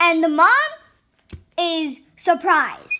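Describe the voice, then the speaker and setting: Using a raised, projected voice, a woman speaks at a very slow pace with extremely high pitch. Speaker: children's book reader. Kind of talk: children's picture book read-aloud. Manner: expressive, energized; wide pitch range, animated.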